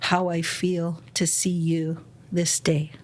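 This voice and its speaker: A woman's voice, fairly low in pitch. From Kwantlen, British Columbia, Canada. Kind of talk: podcast interview. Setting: studio. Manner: talkative.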